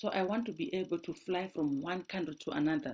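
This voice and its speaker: A woman speaks with a dark, mellow tone at a fairly low pitch, her pitch varying in an ordinary way. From Zimbabwe. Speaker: doctoral researcher. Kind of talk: personal testimony.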